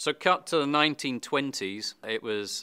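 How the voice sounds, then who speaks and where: On a very clean recording with a silent background, a man with a British accent speaks at a moderate pace in a bright, sharp tone with ordinary pitch variation. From Britain. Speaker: wine expert presenter. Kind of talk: scripted presentation.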